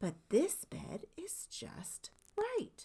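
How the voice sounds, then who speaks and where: Someone performs a put-on character voice at a high pitch. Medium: read story. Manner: simple, picky.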